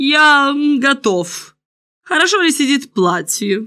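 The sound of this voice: Slowly, a woman speaks in a put-on character voice at a high pitch, with a bright, sharp tone and big pitch swings. The recording is very clean, with a silent background.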